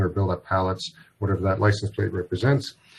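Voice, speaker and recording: A man with a fairly low pitch speaks at a fairly quick pace in a somewhat breathy voice. His intonation is monotone and flat over a quiet background. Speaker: software product presenter. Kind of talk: webinar product demo. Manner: fast.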